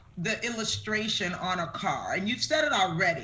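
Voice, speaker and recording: Moderate pace with noticeable background noise. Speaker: show host interviewing guest. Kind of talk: casual friendly interview. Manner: enthusiastic, warm.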